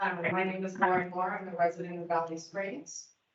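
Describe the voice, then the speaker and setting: A woman speaks at a moderate pace in a medium pitch with monotone, flat intonation and audible room echo. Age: 20s. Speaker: public commenter. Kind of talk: public comment at hearing. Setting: public meeting hall with audience. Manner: loud.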